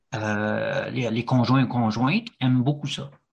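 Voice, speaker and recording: Speaking with a Quebec accent, a man goes at a very slow pace. The recording is very clean, with a silent background. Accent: French Quebec accent, kept. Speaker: Quebec expat interviewee. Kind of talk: podcast interview. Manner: halting, many fillers.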